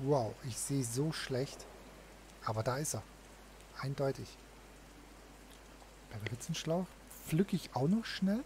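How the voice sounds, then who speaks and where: A somewhat breathy man at a very slow pace, lively intonation broken by long, frequent pauses. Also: fairly high pitch for a man. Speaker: gaming video host. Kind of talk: let's play commentary. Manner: casual.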